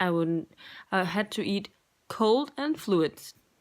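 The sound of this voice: A woman speaks slowly at a medium pitch. Her intonation is lively.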